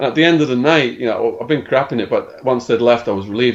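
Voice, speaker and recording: A man with an English accent at a very fast pace, medium pitch and ordinary pitch variation. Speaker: former drug dealer telling his life story. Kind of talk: podcast interview, storytelling. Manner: animated.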